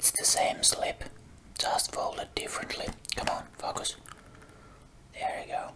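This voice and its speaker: A whisper with a non-native accent, fairly slow pace, long and frequent pauses, and noticeable background noise. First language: not English. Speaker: ASMR creator. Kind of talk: ASMR rambling about a collection. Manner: soft-spoken.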